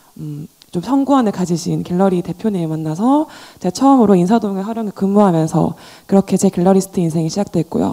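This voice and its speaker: Very fast and full of lively intonation, a woman speaks with a medium pitch and a dark, mellow tone. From Daegu, South Korea. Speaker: gallerist and art dealer. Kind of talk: panel discussion.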